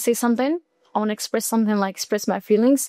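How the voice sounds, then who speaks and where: In a dry, close recording with no echo, a woman speaks at a high pitch with a dark, mellow tone and ordinary pitch variation. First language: Arabic. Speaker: student. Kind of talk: casual chat.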